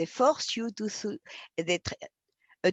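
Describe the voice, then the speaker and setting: With a French accent, a woman uses very wide pitch swings and vocal fry, her voice captured in a dry, close sound with no echo. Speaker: philosopher. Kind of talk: interview. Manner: halting.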